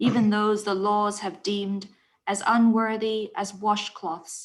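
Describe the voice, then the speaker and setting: A woman's flat, monotone voice at a medium pitch, fairly slow in pace, on a very clean recording with a silent background. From Hong Kong. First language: Cantonese. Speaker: poet. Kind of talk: poetry reading.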